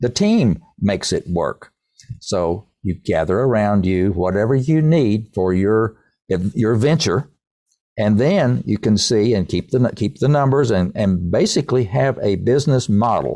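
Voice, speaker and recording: Dark, mellow tone with lively intonation and very even loudness, a fairly slow pace, on a very clean recording with a silent background. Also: man, fairly low pitch for a man. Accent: Appalachian. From East Tennessee. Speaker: songwriter and business executive. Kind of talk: interview.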